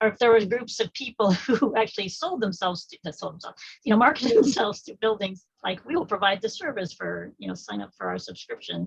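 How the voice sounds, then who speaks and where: A woman talks at a very fast pace with hardly any pauses. Her loudness swings widely. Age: 60s. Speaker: audience member asking a question. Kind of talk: Q&A question at online community meeting. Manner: halting.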